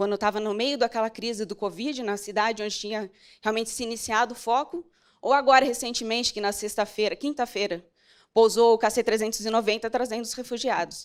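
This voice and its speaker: On a very clean recording over a silent background, a woman talks at a fairly high pitch. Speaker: military fighter pilot. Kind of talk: motivational talk. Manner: fast.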